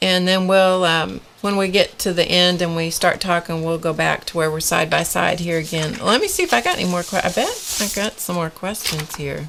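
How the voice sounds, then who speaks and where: A woman's fairly low voice at a moderate pace, fairly even in intonation, with hardly any pauses and noticeable background noise. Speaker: live stream art show host. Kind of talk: casual chat. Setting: live stream. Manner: loud.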